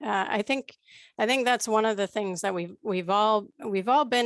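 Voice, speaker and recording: A woman speaks in a medium pitch with ordinary pitch variation. The sound is dry and close, with no echo. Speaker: trainer on aging services. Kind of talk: online training presentation.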